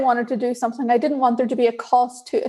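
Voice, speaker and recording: A woman speaks with an Irish accent at a high pitch. Her tone is dark and mellow. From Northern Ireland, Belfast. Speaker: diversity and inclusion leader in tech. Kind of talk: interview.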